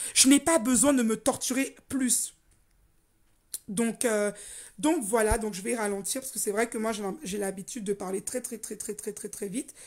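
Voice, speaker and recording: A woman speaks with fairly high pitch and ordinary pitch variation. Her loudness swings widely, and her pauses are long and frequent. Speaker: life coach. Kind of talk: motivational talk. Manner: deliberately slowed down.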